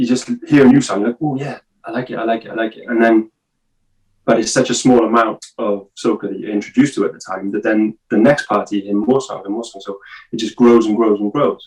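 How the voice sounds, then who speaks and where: A man with a Welsh accent at medium pitch, talking at a very fast pace. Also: fairly even intonation. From Wales. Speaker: podcast guest. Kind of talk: casual chat. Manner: halting.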